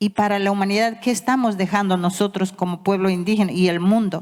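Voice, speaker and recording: Fairly even intonation and a medium pitch shape a woman's speech at a moderate pace. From Ecuador, Amazon (Yasuní), Waorani people. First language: Waorani (Wao Tededo) (speaking Spanish). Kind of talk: conference speech. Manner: halting.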